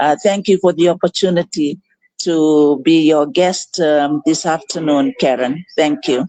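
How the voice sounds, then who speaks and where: A fairly slow woman's voice, very deep and low, at very even loudness, dry and close with no echo. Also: ordinary pitch variation. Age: 60s. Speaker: digital business owner and coach, former executive. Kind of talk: live online interview. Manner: hesitant, many fillers.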